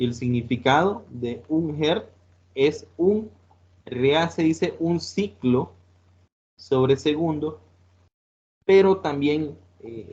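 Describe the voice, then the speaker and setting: Somewhat breathy and fairly high in pitch, a man talks very slowly with lively intonation and long, frequent pauses. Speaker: teacher. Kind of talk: lecture. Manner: halting, many fillers.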